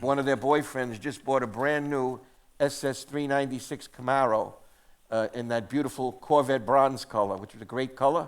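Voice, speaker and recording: A man speaks in a New York accent at a moderate pace. His pitch is medium and his intonation fairly even. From New York City, Queens. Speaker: museum curator. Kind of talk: casual onstage talk. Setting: theatre stage with audience.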